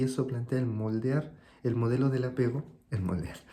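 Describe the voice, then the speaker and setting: This man speaks at a medium pitch with a Chilean accent. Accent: Chilean, sing-song. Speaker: consultant and video host. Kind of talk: reflective monologue.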